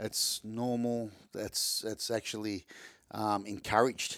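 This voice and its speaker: The man speaks with an Australian accent in monotone, flat intonation, recorded very cleanly against a silent background. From Melbourne, Australia. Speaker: taxidermist and hunter. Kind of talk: casual interview chat. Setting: indoors, recorded in person.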